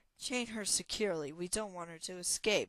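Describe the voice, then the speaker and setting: A woman growls through a put-on character voice at a medium pitch. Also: fairly quick pace. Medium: read story. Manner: growling.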